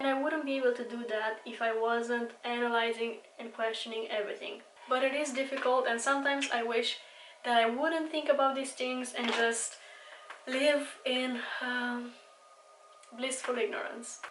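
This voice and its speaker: A woman's high-pitched, monotone, flat delivery at a moderate pace, with audible room echo and noticeable background noise. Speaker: beauty vlogger. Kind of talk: casual monologue.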